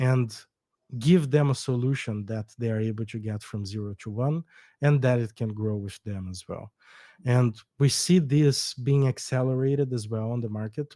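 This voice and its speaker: This man speaks at a medium pitch in a Brazilian accent, his tone dark and mellow. The recording is very clean and dry, close-miked with no echo and a silent background. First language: Portuguese. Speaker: startup co-founder. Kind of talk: podcast interview. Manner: hesitant, with false starts.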